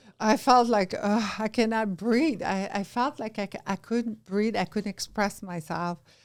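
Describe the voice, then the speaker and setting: In a very clean recording with a silent background, a woman with a Quebec accent speaks at a fairly slow pace with hardly any pauses, using a fairly high pitch and ordinary pitch variation. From Quebec, Canada. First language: French. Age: 50s. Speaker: entrepreneur. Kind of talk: casual chat. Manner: animated.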